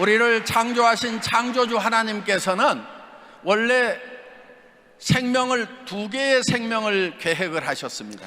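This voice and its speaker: A man with an extremely high pitch projects his raised voice at a fairly slow pace, his intonation fairly even, with noticeable background noise behind him. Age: 60s. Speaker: company founder speaking at business event. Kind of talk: speech with consecutive interpretation.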